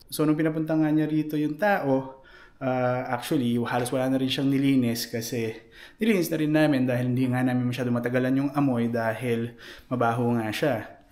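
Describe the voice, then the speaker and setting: Soft-spoken and with very even loudness, a man of medium pitch talks at a fairly quick pace with fairly even intonation, and the room echo is audible. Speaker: vlogger. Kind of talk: casual vlog. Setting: basement at home.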